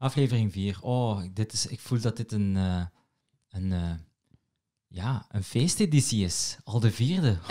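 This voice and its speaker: Against a quiet background, a man with a Moroccan accent speaks fairly slowly in a fairly low, dark, mellow voice, leaving long, frequent pauses. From Morocco. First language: Moroccan Arabic (speaking Dutch). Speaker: podcast host and comedy writer; podcast host. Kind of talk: casual chat. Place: home room. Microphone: studio mic.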